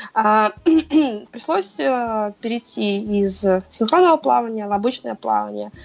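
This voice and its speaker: Very slowly, a woman speaks in a fairly high pitch, her pitch swinging very widely. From Moscow, Russia. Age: 20s. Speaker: CrossFit athlete and coach. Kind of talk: casual interview.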